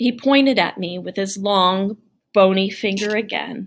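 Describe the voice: Over a quiet background, the plain reading aloud shows ordinary pitch variation.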